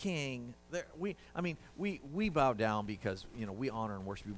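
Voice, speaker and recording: A man puts on a whiny character voice at a medium pitch, with very wide pitch swings. He talks at a moderate pace over clear background noise. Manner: groveling, ingratiating.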